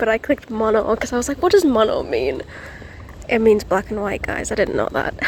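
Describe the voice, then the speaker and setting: Fairly quick speech with a British accent over noticeable background noise. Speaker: student vlogger and artist. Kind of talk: casual vlog chat. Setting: indoors, student room. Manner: soft-spoken; quiet.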